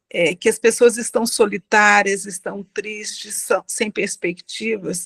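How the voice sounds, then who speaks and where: This woman talks at a very slow pace, her pitch fairly high and her intonation fairly even. The sound is dry and close, with no echo. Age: 60s. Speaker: audience participant. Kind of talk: question from audience in online debate. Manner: halting.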